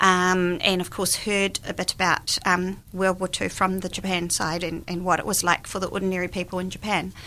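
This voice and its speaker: In a New Zealand accent, a woman speaks at a moderate pace and medium pitch, her tone bright and sharp and her intonation monotone and flat. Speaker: guest, author and volunteer. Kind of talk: casual interview chat. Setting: radio studio.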